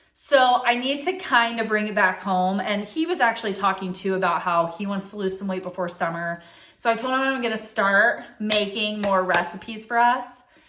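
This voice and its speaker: A woman speaks at a medium pitch with ordinary pitch variation and hardly any pauses. Audible room echo and noticeable background noise fill the recording. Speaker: lifestyle vlogger. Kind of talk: casual chat. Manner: fast; animated.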